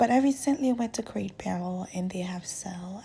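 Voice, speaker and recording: At a moderate pace, a woman speaks with lively intonation. Hers is an unremarkable speaking voice at medium pitch. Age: 20s. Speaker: lifestyle vlogger. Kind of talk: voiceover narration. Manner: casual.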